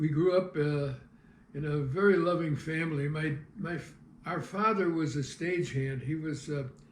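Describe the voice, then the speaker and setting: Someone with an American accent speaks at a moderate pace amid audible room echo. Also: man. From US Midwest, St. Louis (south side). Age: 80s+. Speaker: retired TV cameraman and local historian. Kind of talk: life-story interview. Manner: halting, with frequent fillers.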